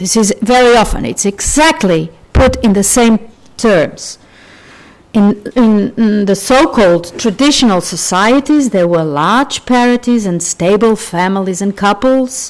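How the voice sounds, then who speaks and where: A woman with a Portuguese accent speaks at a fairly slow pace with lively intonation. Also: medium pitch for a woman. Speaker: sociologist, conference speaker. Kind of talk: academic conference talk. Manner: halting, with fillers.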